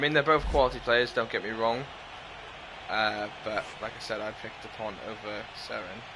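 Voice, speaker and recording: A man speaks loudly with a Welsh accent. His medium pitch follows fairly even intonation. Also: moderate pace. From Wales. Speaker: gaming livestreamer. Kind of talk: casual livestream chat with game commentary.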